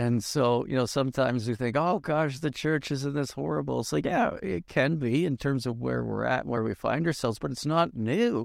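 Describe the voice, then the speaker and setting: A man talks at a moderate pace with hardly any pauses. His intonation is lively, in a normal speaking voice. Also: medium pitch for a man. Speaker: podcast host. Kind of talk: interview conversation.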